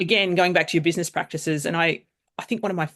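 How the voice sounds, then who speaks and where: Against a quiet background, the speaker talks with fairly even intonation in an Australian accent. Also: woman. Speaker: AI governance consultant. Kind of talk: casual chat. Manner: fast.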